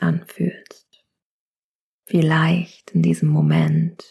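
A woman speaks very slowly in a soothing, calm tone. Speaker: yoga teacher and meditation guide. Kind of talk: guided meditation. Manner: slow, soothing, calm; soft-spoken, gentle.

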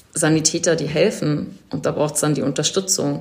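The speech comes at a fairly slow pace with ordinary pitch variation. Noticeable background noise is present. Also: woman. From Berlin, Germany. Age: 40s. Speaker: event production manager and volunteer coordinator. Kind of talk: interview. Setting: video call.

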